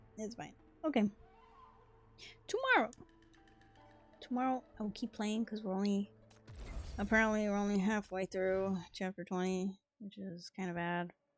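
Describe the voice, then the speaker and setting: A woman's fairly even intonation broken by long, frequent pauses, with music in the background. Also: medium pitch for a woman, moderate pace. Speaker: gaming streamer. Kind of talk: casual chat. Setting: live stream.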